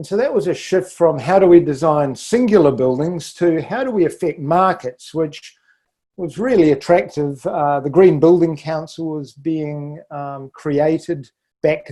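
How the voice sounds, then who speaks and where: A fairly high-pitched man with a New Zealand accent, speaking at a fairly slow pace with ordinary pitch variation. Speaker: architect and sustainability leader. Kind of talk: podcast interview. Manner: halting with frequent fillers.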